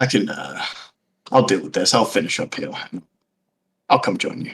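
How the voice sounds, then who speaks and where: Raspy put-on character voice from a man at a moderate pace, with big swings in loudness. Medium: actual play. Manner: smooth, dismissive.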